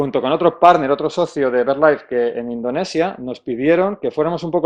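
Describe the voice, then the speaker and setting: This man speaks very fast, with ordinary pitch variation. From Spain, Salamanca. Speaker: conservation speaker at a technical conference. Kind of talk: conference talk. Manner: halting, many false starts and fillers.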